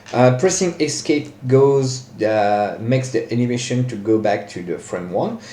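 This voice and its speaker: Dark, mellow male voice with lively intonation, a fairly slow pace and audible room echo. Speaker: software tutorial maker. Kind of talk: tutorial. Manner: hesitant, many fillers.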